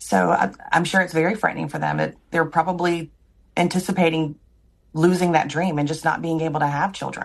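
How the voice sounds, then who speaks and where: A woman with an American accent talks at a fairly quick pace, with a fairly low pitch and ordinary pitch variation. Vocal fry runs through her voice. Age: 40s. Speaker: IVF patient. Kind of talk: recorded interview.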